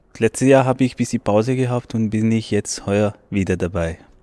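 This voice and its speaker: Dry, close sound with no echo from a man with a non-native accent, fairly even intonation, and a moderate pace. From Pakistan. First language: not German (speaking German). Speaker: asylum seeker and student, choir member. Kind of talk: interview. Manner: halting.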